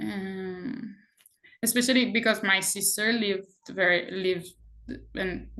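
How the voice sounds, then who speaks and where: Bright and sharp in tone, a woman's medium-pitched voice keeps a fairly even intonation. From Israel, Jerusalem. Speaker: activist, conscientious objector. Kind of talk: personal testimony in interview.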